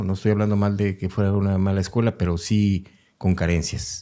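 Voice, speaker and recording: In a very clean recording with a silent background, a man is heard. His pitch is fairly low and his tone dark and mellow. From Mexico City. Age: 60s. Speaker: retired military helicopter pilot. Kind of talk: interview.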